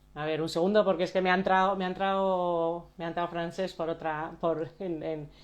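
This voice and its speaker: A woman talks at a fairly quick pace with a fairly low pitch. Her intonation is monotone and flat. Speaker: coach and live stream host. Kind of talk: live stream introduction. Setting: Instagram live video. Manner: soft-spoken; halting.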